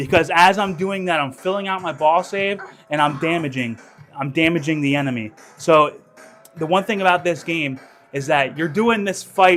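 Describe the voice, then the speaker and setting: Music plays in the background as a man speaks at a moderate pace. His pitch is high, with ordinary pitch variation. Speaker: pinball streamer and show host. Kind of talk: live stream gameplay commentary. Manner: casual, filler-heavy, repeats words.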